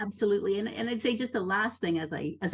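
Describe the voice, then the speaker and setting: A woman's somewhat breathy voice at medium pitch. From born in Brazil, raised in the US. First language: Portuguese. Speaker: poet. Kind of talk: interview conversation. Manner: halting, many fillers and repetitions.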